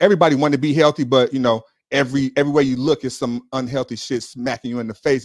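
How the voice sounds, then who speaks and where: Dry and close with no echo, the sound captures a man speaking with an American accent. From Chicago. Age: 40s. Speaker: real estate investor and juice bar owner. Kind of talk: casual chat. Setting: live online stream.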